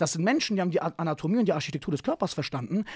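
Against a quiet background, a man talks at a very fast pace in an animated tone, his high pitch making very wide swings, with a dry sound and no echo. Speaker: martial arts coach and speaker; martial arts coach, speaker. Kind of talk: casual interview chat. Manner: animated, slangy. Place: studio. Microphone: studio mic.

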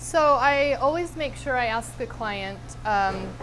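Clear music in the background under a woman's speech. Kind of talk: interview answer. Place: kitchen.

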